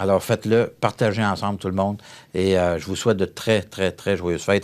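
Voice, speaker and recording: Speech moves at a fairly quick clip. Nothing can be heard behind it, as the recording is very clean. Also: man. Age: 60s. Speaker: federal member of parliament. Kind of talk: interview. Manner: animated.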